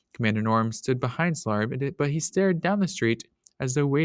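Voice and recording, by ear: This is read aloud in a natural voice with lively intonation over a quiet background.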